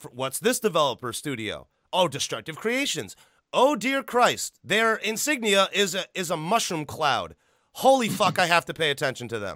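An animated man with an American accent projects a raised, bright, sharp voice at a high pitch with very wide swings, at a moderate pace. The recording is very clean and silent behind him, with a dry, close sound and no echo. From Illinois, US Midwest. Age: 30s. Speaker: podcast host. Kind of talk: casual chat.

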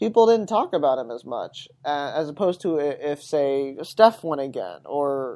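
This man's voice has a dark, mellow tone and very wide pitch swings. He talks at a moderate pace. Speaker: sports podcast host. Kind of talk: solo sports talk. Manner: casual, with many fillers.

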